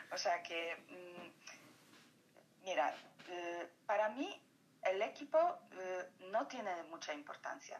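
A woman speaks very slowly at a medium pitch, in a Polish accent. Her intonation is lively and her loudness swings widely. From Poland. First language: Polish (speaking Spanish). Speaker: photographer. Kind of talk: interview. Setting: phone call.

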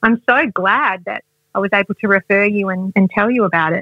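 At a moderate pace, the speaker talks with an Australian accent. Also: woman. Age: 40s. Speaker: wellness expert and author. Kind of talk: interview.

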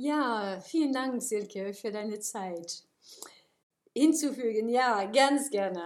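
Talking at a very slow pace with long, frequent pauses, a woman has a fairly high pitch and ordinary pitch variation. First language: English and French (speaking German). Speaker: university lecturer. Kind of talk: interview. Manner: hesitant, many filler sounds.

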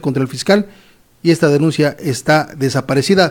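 A man with a Mexican accent, fairly high in pitch, talking at a fairly quick pace with ordinary pitch variation. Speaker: news presenter. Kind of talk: news commentary. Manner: animated; stumbling.

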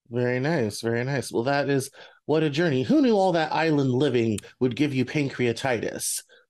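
Against a quiet background, a man with an unremarkable speaking voice and an American accent talks in a fairly high pitch, with ordinary pitch variation and very even loudness. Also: moderate pace. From US, Denver. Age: 30s. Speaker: podcast host. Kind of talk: interview.

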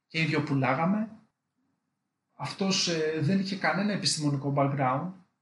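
A man's somewhat breathy voice with audible room echo. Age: 20s. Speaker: electrical engineer. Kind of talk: casual interview chat.

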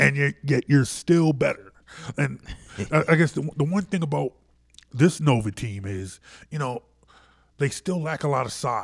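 A man with an American accent speaks at a fairly high pitch, somewhat breathy, with lively intonation. He leaves long, frequent pauses, and the recording is very clean with a silent background. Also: moderate pace. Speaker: sports radio host. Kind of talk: casual sports talk. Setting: studio.

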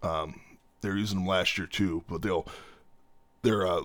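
On a very clean recording with a silent background, a man with a fairly low pitch speaks in a bright, sharp tone with fairly even intonation. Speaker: podcast co-host. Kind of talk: casual chat. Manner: playful, jokey.

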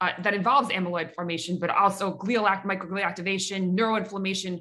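A woman with a bright, sharp tone speaks at a medium pitch with fairly even intonation. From Mexico City, Mexico. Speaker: podcast host and researcher. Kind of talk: interview.

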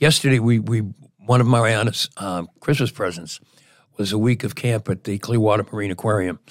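In a very clean recording with a silent background, a man speaks in a normal speaking voice, fairly low in pitch and fairly quick, with ordinary pitch variation. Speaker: radio host. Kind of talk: casual chat.

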